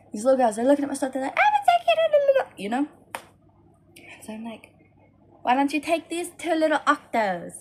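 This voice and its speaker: A woman's high voice, fairly quick with lively intonation, big swings in loudness, long and frequent pauses, and noticeable background noise. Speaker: crochet vendor vlogger. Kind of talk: casual vlog storytelling.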